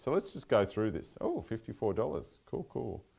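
A man speaks with an Australian accent. The background is quiet. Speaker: software consultant giving a talk; presenter. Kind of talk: technical talk with live demo. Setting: meetup venue with live audience. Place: meeting room.

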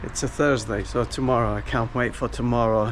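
Light background noise can be heard as a man is talking. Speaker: property vlogger. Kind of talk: casual vlog chat. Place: street. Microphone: phone near.

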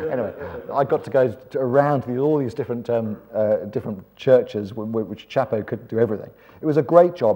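A man speaks at a very fast pace in a dark, mellow tone. The background is quiet. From England. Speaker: preacher. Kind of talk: seminar talk. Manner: animated. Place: hall. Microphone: lapel.

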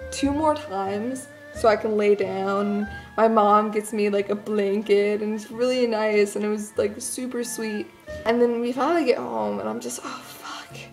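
A woman speaks at a moderate pace with ordinary pitch variation and big swings in loudness, faint music in the background. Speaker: vlogger. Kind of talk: casual vlog chat. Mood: amused, self-deprecating. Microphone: phone near.

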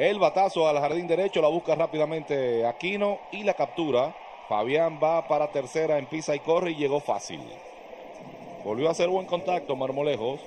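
The speaker is a man with a fairly high pitch and ordinary pitch variation. He talks at a moderate pace over noticeable background noise. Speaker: baseball play-by-play announcer. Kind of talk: sports commentary, live play-by-play. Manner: animated, energetic.

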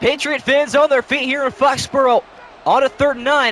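Noticeable noise in the background behind a man talking at a fairly quick pace. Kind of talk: live sports commentary, play-by-play of a simulated Madden game. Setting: video game commentary recording. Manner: rapid-fire, clipped play-by-play delivery.

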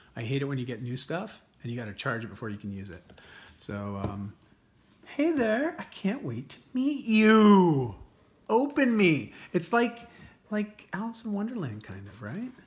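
Speaking at a moderate pace, a man uses a high pitch with very wide pitch swings and big swings in loudness. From Canada. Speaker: lifestyle mentor, personal trainer. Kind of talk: casual unboxing talk to camera. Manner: upbeat. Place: home room. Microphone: phone near.

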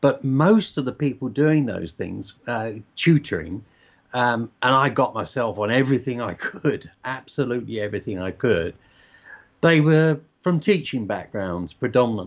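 Against a quiet background, a man with a southern English accent talks at a moderate pace with lively intonation. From southern England (Surrey / Hertfordshire). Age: 70s. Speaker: basketball coach. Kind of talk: interview. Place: home room. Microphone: video call.

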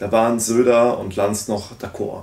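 A man speaks with a fairly low pitch. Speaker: political commentary YouTuber. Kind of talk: video commentary. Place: home room.

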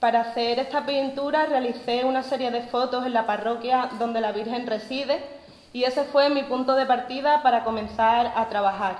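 Her voice is high-pitched, and this woman talks at a moderate pace with fairly even intonation amid audible room echo. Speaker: poster artist. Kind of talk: explanatory talk; formal speech. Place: church. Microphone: podium.

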